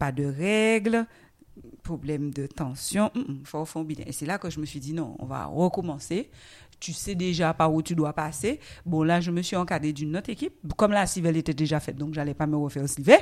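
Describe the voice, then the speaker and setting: Very deep and low, a woman's voice moves at a moderate pace with ordinary pitch variation. Her tone is animated. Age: 40s. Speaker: guest sharing her obesity journey. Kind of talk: testimony. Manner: animated, laughing.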